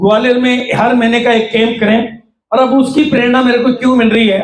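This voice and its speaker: A man speaks at an extremely high pitch with fairly even intonation. Room echo is audible. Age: 70s. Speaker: network marketing trainer. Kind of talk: workshop talk.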